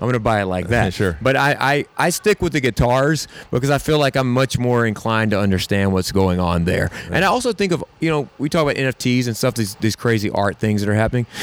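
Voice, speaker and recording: Speaking at a very fast pace, a man with a Southern US accent keeps a medium pitch, very even loudness and lively intonation. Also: hardly any pauses. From US South, South Carolina (Camden). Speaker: songwriter and musician. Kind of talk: casual interview. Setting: in person at a hotel. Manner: hesitant, many fillers.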